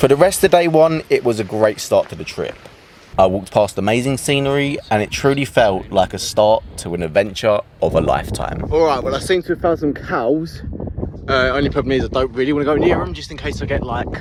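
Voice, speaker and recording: A man with a British accent talks at a fairly quick pace. Noticeable background noise is present. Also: medium pitch for a man, lively intonation. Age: young. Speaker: travel vlogger. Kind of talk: vlog narration. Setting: outdoors. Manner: animated.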